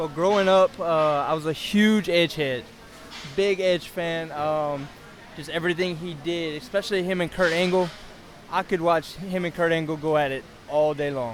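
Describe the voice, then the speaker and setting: A high-pitched man talks in a Louisiana accent at a moderate pace. His intonation stays fairly even, broken by long, frequent pauses. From South Louisiana. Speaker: independent pro wrestler. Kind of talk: casual interview.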